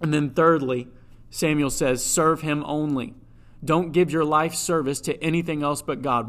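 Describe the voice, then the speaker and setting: Here is a man with an unremarkable speaking voice, fairly high in pitch. His intonation is fairly even and his pace moderate. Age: 20s. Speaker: church music staff and preacher. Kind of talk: sermon.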